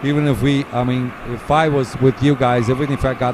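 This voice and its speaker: Noticeable background noise accompanies a man speaking at a moderate pace with a medium pitch. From Portugal. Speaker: race commentator. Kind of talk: live commentary.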